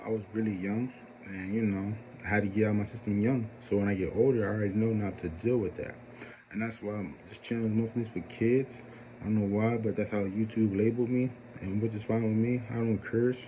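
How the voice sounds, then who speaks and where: Intonation is monotone and flat as a man speaks at fairly low pitch. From Philadelphia area, US. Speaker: YouTuber. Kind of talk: casual monologue. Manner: rambling, with hesitations.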